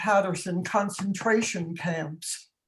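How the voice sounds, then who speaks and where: A somewhat breathy woman at a moderate pace with fairly even intonation and audible room echo. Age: 80s+. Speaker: community activist. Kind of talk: panel discussion.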